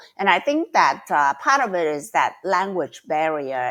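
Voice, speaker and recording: Her pitch fairly low, a woman speaks at a fairly slow pace with very wide pitch swings. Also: very clean recording, silent background. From Vietnam (Saigon), Chinese community. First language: Chinese or Vietnamese. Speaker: debating mentor. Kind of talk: podcast interview. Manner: hesitant, many fillers.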